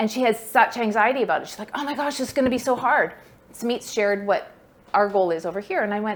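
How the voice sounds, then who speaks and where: A woman rattles along at a very fast pace, her fairly high voice showing ordinary pitch variation. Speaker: fundraising workshop presenter. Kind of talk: workshop talk. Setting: workshop room with online attendees.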